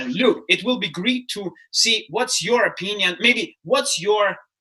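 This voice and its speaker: A man speaks at a fairly slow pace in a raised, projected voice with a bright, sharp tone. His pitch varies in an ordinary way. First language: not English. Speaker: startup mentor and keynote speaker. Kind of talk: casual chat. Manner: halting.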